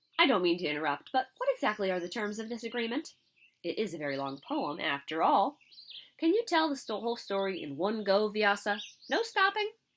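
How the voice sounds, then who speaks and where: A squeaky, put-on character voice, female-sounding and of medium pitch, moves along at a fairly quick pace. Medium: read story.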